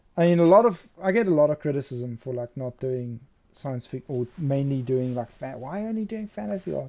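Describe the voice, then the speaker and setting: In a South African accent, a man speaks at a fairly quick pace with fairly high pitch. His tone is dark and mellow, and his intonation is lively. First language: Afrikaans. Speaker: fantasy concept artist and illustrator. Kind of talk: casual livestream chat while painting. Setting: livestream.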